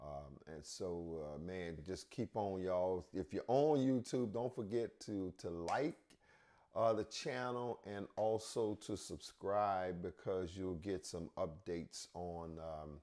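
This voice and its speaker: A man with a very deep, low pitch and a dark, mellow tone speaks at a very slow pace with lively intonation. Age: 60s. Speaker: pastor. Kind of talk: casual chat. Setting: livestream with conference line. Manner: halting, with fillers.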